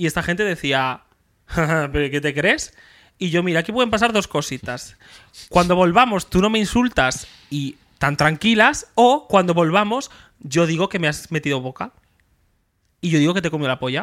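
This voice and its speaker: The speech moves at a moderate pace, with long, frequent pauses. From Extremadura, Spain (rural village). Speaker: podcast co-host, comedian. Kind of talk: casual chat.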